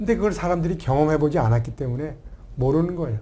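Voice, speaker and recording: A fairly high-pitched male voice at a very fast pace. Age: 60s. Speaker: family life coach and author. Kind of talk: talk show interview. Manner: animated.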